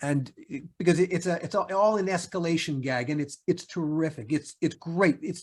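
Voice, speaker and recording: Moderate pace with hardly any pauses. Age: 60s. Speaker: TV writer and producer. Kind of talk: interview.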